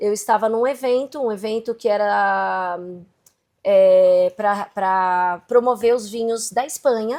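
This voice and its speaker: A woman talks very slowly, her fairly high voice showing ordinary pitch variation. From Brazil. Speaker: entrepreneur and digital content creator. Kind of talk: interview.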